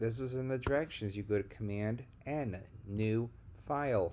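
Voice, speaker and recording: With an unremarkable speaking voice, this man keeps to a medium pitch, and his pitch moves in an ordinary way. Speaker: high school teacher. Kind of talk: tutorial.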